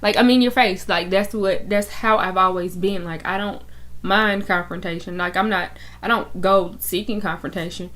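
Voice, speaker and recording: A woman speaks at a moderate pace with vocal fry. Her pitch sits in the medium range. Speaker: YouTuber. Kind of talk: personal testimony. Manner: loud; animated.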